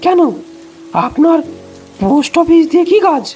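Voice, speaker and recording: The put-on character voice moves at a moderate pace. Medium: audio drama. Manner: brusque, irritated.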